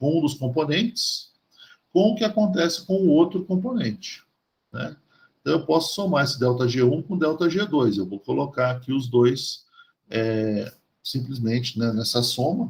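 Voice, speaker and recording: This man's voice sits fairly high and is somewhat breathy. His pitch swings very widely at a moderate pace. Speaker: chemistry professor. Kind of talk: university lecture. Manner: halting, many fillers and restarts.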